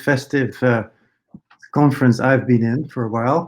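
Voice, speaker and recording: This man speaks with a Dutch accent. His intonation stays fairly even. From Netherlands. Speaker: AI researcher and professor. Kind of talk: conference talk. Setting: conference presentation. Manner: many filler words (uh, um).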